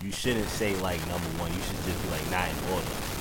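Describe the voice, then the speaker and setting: In a New York accent, a man talks at a moderate pace in an animated tone, with noticeable background noise and audible room echo. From New York (Queens). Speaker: podcast host. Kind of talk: casual chat.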